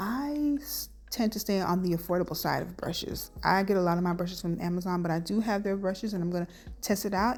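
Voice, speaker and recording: A woman's whisper, somewhat breathy. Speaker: beauty vlogger. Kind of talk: tutorial voiceover. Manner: whispering; casual.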